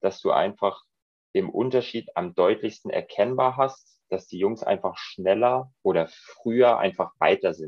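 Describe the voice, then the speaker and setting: A man's plain, everyday voice, medium in pitch, at a fairly slow pace with ordinary pitch variation. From Germany, Munich (Bavaria). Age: 30s. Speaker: goalkeeper coach. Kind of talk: interview.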